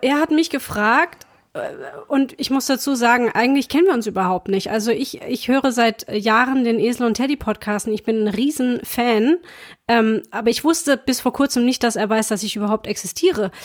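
The recording is very clean, and the background is silent. A woman talks in a high voice. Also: ordinary pitch variation, moderate pace. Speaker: podcast host and performing artist. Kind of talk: casual chat.

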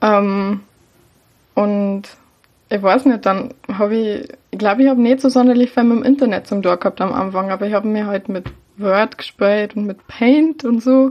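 Pausing long and often, a woman speaks at a moderate pace. Her voice is fairly high-pitched, with fairly even intonation. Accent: Bavarian. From Lower Bavaria, Germany. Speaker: baking blogger and podcaster. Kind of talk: casual chat.

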